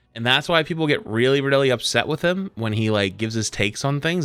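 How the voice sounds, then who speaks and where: Animated and bright, a man with a Boston accent speaks in a sharp tone with very wide pitch swings. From New England (Boston). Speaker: streamer reacting to a video. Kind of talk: livestream reaction commentary. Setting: livestream. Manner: direct, blunt; casual, animated.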